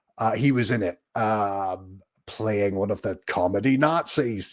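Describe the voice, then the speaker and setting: A man with a Scottish accent speaks at a fairly low pitch with ordinary pitch variation. The recording is very clean, with a silent background. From Scotland. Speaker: YouTuber, TV commentator. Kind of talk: live watch-along commentary. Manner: hesitant, many fillers.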